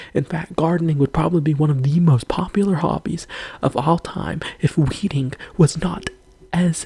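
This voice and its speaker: Someone whispers at a moderate pace. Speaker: video creator. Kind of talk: rant. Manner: whispering.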